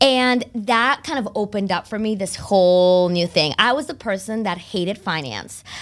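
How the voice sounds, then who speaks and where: Lively intonation and a bubbly tone carry the speech, with hardly any pauses. The recording is very clean, with a silent background. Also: woman, medium pitch for a woman, moderate pace. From Massachusetts, Boston area (from age nine; born in Spain). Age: 30s. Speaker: financial advisor. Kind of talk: casual interview.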